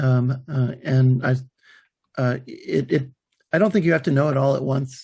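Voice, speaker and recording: A man speaks at a moderate pace in a medium pitch with ordinary pitch variation. His voice is somewhat breathy. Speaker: author and podcaster. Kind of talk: interview. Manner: halting, many fillers and restarts.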